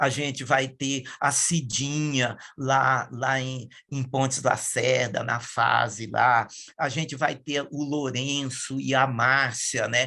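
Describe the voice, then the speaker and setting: A man speaks at a very slow pace in a medium-pitched voice with a bright, sharp tone and flat, monotone intonation. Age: 60s. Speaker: environmental activist. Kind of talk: interview testimony. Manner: halting, many fillers and self-corrections.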